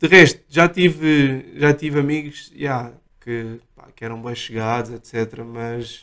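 Loudness swings widely as a man speaks at a very slow pace. His pitch is medium, with ordinary variation. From Portugal, Lisbon area. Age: 30s. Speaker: DJ. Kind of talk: casual chat.

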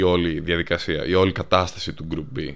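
A man talks with a very deep, low pitch. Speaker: podcast co-host. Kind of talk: casual chat.

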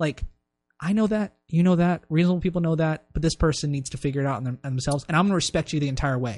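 Very fast and fairly high-pitched, a man with an American accent talks with ordinary pitch variation in a dry, close sound with no echo. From US, Maryland. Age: 20s. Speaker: business school student. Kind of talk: casual chat.

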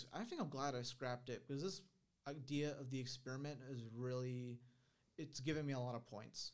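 A man talks at a fairly quick pace. His pitch is medium, with fairly even intonation. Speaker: YouTuber. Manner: monotone.

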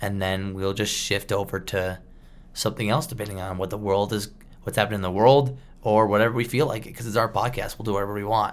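A man talks very fast at a fairly low pitch, his intonation fairly even. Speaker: podcast co-host. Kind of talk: casual chat.

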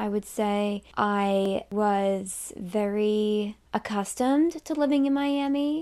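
A woman with an American accent has a fairly high, dark, mellow voice with ordinary pitch variation. The recording is very clean, with a silent background. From Massachusetts. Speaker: podcast host. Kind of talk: casual personal monologue. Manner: unscripted, loose.

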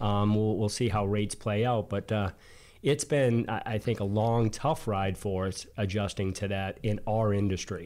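A man with a slight Boston accent speaks at a moderate pace, fairly low in pitch with fairly even intonation. The recording is very clean, with a silent background. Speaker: co-host, mortgage professional. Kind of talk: casual business chat.

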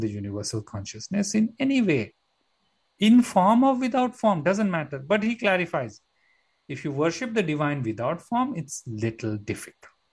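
Over a quiet background, a somewhat breathy man speaks at a moderate pace with very wide pitch swings. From India, Mumbai. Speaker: yoga teacher. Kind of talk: interview conversation.

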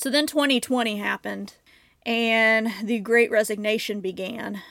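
Fairly even intonation is heard in a very clean recording with a silent background. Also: woman. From US Midwest, Southern Illinois. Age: 30s. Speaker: mental health podcast host. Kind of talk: personal monologue.

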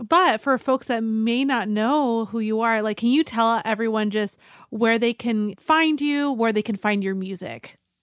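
On a very clean recording with a silent background, a woman with an unremarkable speaking voice talks at a fairly slow pace with hardly any pauses, using a fairly high pitch and ordinary pitch variation. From Mexican-American. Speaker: mental health counselor and podcast co-host. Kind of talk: casual interview chat. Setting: podcast recording.

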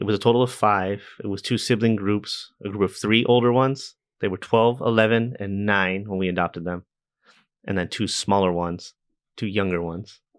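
An ordinary speaking voice with an American accent and fairly even intonation, over a quiet background. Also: man, fairly low pitch for a man, fairly quick pace. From US, army family, teens in Massachusetts. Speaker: deacon. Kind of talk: casual interview.

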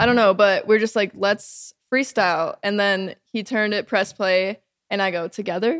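A woman with an American accent, a plain, everyday voice, medium pitch and ordinary pitch variation at a moderate pace, in a very clean, dry, close recording with a silent background and no echo. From Minnesota, Lakeville. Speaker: singer and songwriter. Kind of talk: casual chat.

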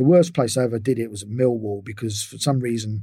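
A man's dark, mellow, somewhat breathy voice at medium pitch, very fast and with fairly even intonation, on a very clean recording with a silent background. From England. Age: 60s. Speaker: physiotherapist. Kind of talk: interview.

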